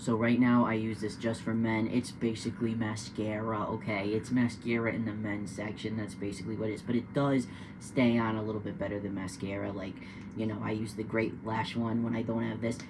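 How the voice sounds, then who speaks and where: Audible room echo surrounds a man with an American accent who talks at a fairly quick pace in a fairly low pitch with fairly even intonation. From New Hampshire, US. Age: 30s. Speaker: vlogger, poultry farmer. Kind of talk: casual vlog tutorial. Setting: indoors at home, partly in shower. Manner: casual, hesitant with many fillers.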